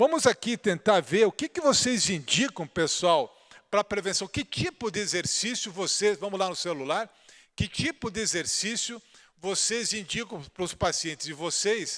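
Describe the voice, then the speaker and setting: A man at a high pitch speaks at a moderate pace with lively intonation, in a dry, close sound with no echo. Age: 60s. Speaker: orthopedic surgeon lecturer. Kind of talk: conference lecture. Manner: conversational, informal.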